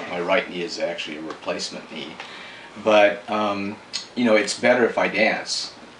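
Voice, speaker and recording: A man's fairly low voice with ordinary pitch variation and big swings in loudness, at a moderate pace, with audible room echo and noticeable background noise. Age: 60s. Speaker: dancer. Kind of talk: interview.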